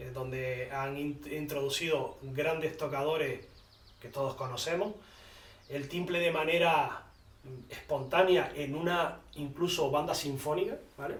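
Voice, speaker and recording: A man talks at a fairly slow pace with fairly even intonation and a fairly high pitch. Noticeable background noise and audible room echo fill the recording. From Canary Islands, Tenerife (La Orotava). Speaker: instrument maker. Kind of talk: interview. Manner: halting.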